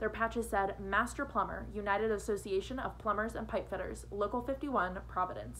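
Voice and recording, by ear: The text is read aloud. A natural voice carries it.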